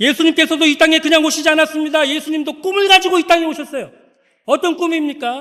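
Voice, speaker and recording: He speaks in a raised, projected voice at a very fast pace, extremely high in pitch, with a bright, sharp tone and fairly even intonation. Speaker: pastor. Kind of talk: sermon. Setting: church.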